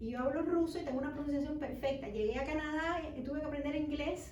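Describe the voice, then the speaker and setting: Audible room echo surrounds a voice that moves at a fairly quick pace with fairly even intonation. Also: woman. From Cuba. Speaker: children's author. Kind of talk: book fair talk. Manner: halting, many restarts.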